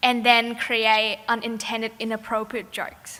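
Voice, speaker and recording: In a Vietnamese accent, a woman speaks at a fairly slow pace with a high pitch. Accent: Vietnamese accent, non-Australian. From Vietnam, Ho Chi Minh City. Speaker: graduating student, valedictorian. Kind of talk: graduation speech. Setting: stage with audience. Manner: formal.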